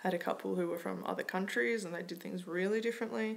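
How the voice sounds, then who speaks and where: This woman speaks with an Australian accent. Her pitch sits fairly low. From Australia, Melbourne. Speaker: vlogger. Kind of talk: casual tutorial vlog.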